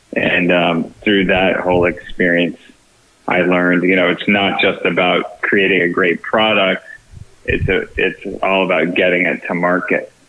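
There is noticeable background noise as a man talks at a fairly slow pace. His loudness stays very even. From Texas, San Antonio. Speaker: film producer and farming entrepreneur. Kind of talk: podcast interview.

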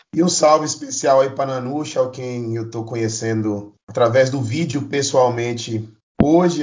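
At a fairly slow pace, a man talks in an ordinary speaking voice with medium pitch and fairly even intonation. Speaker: union-member colleague joining interview. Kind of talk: casual interview.

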